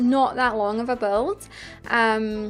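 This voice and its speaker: In a Scottish accent, a relaxed-toned voice is heard over music in the background. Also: woman. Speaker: gaming YouTuber. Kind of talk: casual game commentary. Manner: chatty, relaxed.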